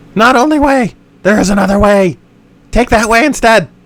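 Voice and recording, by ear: A man's put-on character voice, squeaky and raspy, high-pitched, at a moderate pace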